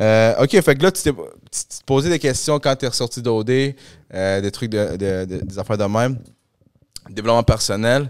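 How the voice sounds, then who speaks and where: A man speaks with a Quebec accent at a medium pitch and a moderate pace. He leaves long, frequent pauses against a quiet background. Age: 30s. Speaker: podcast host. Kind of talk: casual chat. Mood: relaxed, joking. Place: studio. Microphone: handheld.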